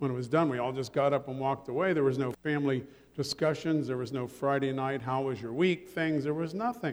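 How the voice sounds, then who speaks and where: With an American accent, a man speaks in a normal speaking voice, pitched fairly high for a man and showing ordinary pitch variation. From Ohio. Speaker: pastor. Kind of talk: sermon. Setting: church.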